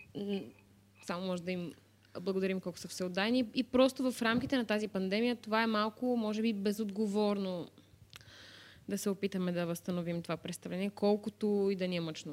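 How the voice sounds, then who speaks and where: Speaking at a moderate pace, a woman has an ordinary speaking voice at a medium pitch with ordinary pitch variation. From Bulgaria, Varna. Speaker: actress. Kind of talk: casual chat.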